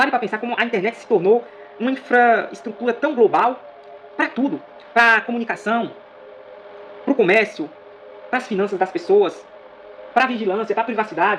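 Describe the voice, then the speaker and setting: Over noticeable background noise, a high-voiced man talks at a moderate pace with long, frequent pauses, big swings in loudness and ordinary pitch variation. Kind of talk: video monologue on Bible prophecy. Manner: repetitive, emphatic.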